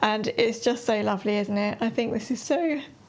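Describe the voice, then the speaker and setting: At a fairly quick pace, a woman with an English accent speaks in a fairly high pitch over noticeable background noise. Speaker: sewing and knitting vlogger. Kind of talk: casual chat.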